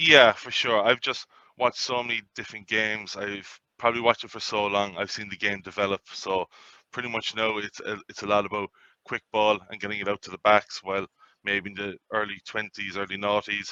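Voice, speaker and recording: A man with an Irish accent speaks at a fairly low pitch in a bright, sharp tone, with monotone, flat intonation and a fairly quick pace. The sound is dry and close with no echo, and his loudness swings widely. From Ireland, County Cork. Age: 30s. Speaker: sports betting tipster. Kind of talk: casual interview.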